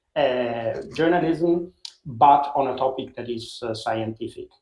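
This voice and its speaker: A fairly high-pitched man's voice at a fairly slow pace, with fairly even intonation. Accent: Italian. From Italy, Rome. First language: Italian. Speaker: science journalist. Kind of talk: interview. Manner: halting, many fillers.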